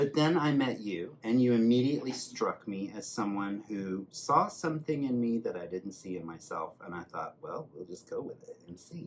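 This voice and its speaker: A man's plain, everyday voice at a moderate pace, with hardly any pauses, big swings in loudness and lively intonation. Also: medium pitch for a man. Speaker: hairdresser. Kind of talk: casual chat.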